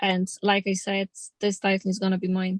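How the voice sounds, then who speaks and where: A woman speaks at a moderate pace and medium pitch, somewhat breathy. The sound is dry and close with no echo. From Poland. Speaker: pro boxer. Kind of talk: interview. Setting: in a car.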